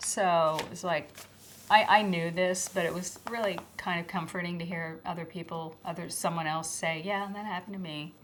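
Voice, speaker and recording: A woman speaks at a moderate pace with a fairly low pitch. Her intonation is monotone and flat. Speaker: former schoolteacher. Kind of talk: testimony. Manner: soft-spoken.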